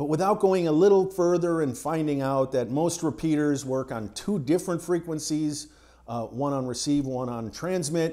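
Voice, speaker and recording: A man with a dark, mellow tone and ordinary pitch variation speaks at a moderate pace over a quiet background. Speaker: amateur radio hobbyist. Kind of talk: tutorial. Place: home room. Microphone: lapel.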